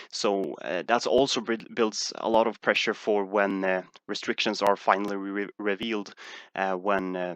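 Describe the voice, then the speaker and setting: The voice has a Swedish accent and monotone, flat intonation at a moderate pace. The background is quiet. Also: man, fairly low pitch for a man. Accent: Swedish accent, sounds similar to Dutch. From Sweden. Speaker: stock market streamer. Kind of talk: live stream Q&A. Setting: live stream. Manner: halting, many fillers.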